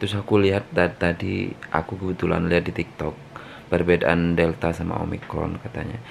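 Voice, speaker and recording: At a fairly quick pace, a man with a very deep, low pitch keeps his intonation fairly even over noticeable background noise. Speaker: vlogger. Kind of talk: video diary.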